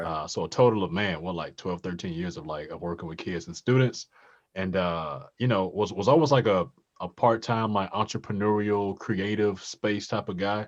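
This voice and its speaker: A man's plain, everyday voice, fairly low in pitch, at a moderate pace, with ordinary pitch variation, big swings in loudness and a quiet background. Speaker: voice actor. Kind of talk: interview answer. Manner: casual, conversational.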